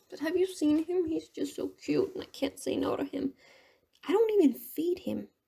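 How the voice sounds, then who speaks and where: A woman mumbling at a moderate pace. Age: 20s. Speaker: painting vlogger. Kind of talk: casual vlog commentary while painting. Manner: rambling, halting.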